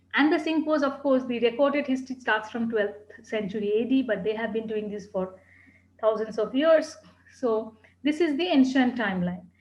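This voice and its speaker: A woman talks at a moderate pace. There is audible room echo. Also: fairly high pitch for a woman, ordinary pitch variation. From India, Calcutta. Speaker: tea educator. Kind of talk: lecture.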